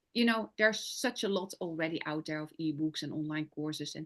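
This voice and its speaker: A woman with a Dutch accent talks at a moderate pace, her intonation lively. The background is quiet. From Netherlands. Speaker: business coach and sales closer. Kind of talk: interview. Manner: halting.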